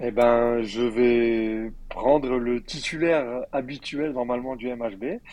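A man's medium-pitched voice, with fairly even intonation and a very slow pace. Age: 30s. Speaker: former professional handball player. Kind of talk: casual interview.

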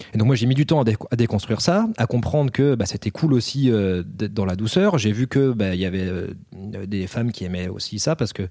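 A man's ordinary speaking voice at medium pitch, ordinary pitch variation, and a fairly quick pace, on a very clean recording with a silent background. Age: 30s. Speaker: film director, author and actor. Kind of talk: casual chat.

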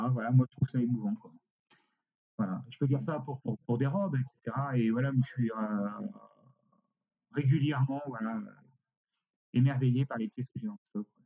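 A man with a dark, mellow voice at medium pitch speaks at a moderate pace, with ordinary pitch variation and big swings in loudness. Long, frequent pauses break up his speech, and the sound is dry and close with no echo. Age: 60s. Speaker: costume rental company director. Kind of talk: interview. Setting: remote recording.

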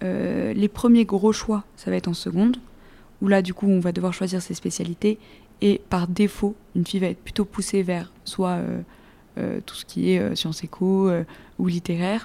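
Dark, mellow tone with fairly even intonation and long, frequent pauses. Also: woman, medium pitch for a woman, moderate pace. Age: 20s. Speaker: engineering graduate. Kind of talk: interview.

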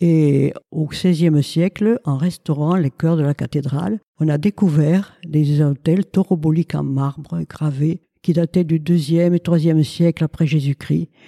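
A woman speaks at a fairly slow pace in a very deep, low pitch with a dark, mellow tone. Her intonation is fairly even, her loudness very even, and the sound is dry and close with no echo. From Gascony, France (Lomagne). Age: 80s+. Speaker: retired teacher and local historian. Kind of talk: interview.

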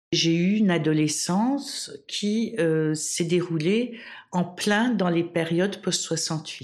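In a room with audible echo, a woman speaks very slowly at a fairly low pitch, her loudness very even and her pitch variation ordinary. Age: 60s. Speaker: historian and women's rights activist. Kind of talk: interview testimony. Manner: halting, many hesitations.

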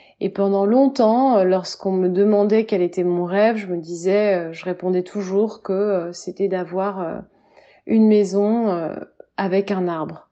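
A woman's medium-pitched voice, fairly even in intonation, at a very slow pace. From France, Orléans region. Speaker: writer and yoga/meditation teacher. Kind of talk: personal testimony. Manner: hesitant, many fillers.

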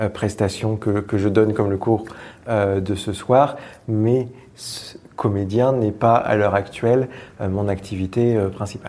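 The delivery is monotone and flat, at a very slow pace. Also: man. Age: 30s. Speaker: improv actor and teacher. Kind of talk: casual interview. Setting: theatre venue.

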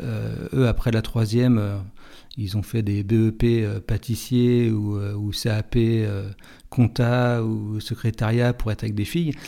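The tone is dark and mellow, with fairly even intonation at a very slow pace. The recording is very clean, with a silent background. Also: man, medium pitch for a man. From Paris suburbs, France. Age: 40s. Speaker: person living with multiple sclerosis. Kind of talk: testimony. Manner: halting.

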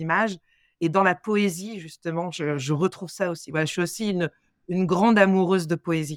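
A woman with a normal speaking voice and a fairly low pitch shows ordinary pitch variation in a very clean recording with a silent background and a dry, close sound with no echo. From Paris suburbs, Seine-Saint-Denis (93). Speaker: opera singer. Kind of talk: interview.

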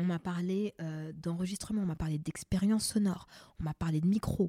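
Her voice is fairly low, somewhat breathy and dark and mellow in tone, with fairly even intonation. The woman speaks at a fairly quick pace in a dry, close sound with no echo. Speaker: makeup artist and podcast host. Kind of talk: casual chat interview.

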